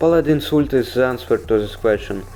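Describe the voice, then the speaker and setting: The man's voice shows ordinary pitch variation, and noticeable background noise is present. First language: not English. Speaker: gaming video creator. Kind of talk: game guide voiceover. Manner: casual, humorous.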